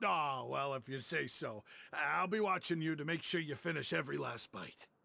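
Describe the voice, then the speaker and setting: A man uses a put-on character voice, raspy and fairly high in pitch. He talks at a moderate pace. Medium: video game. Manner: chatty, animated.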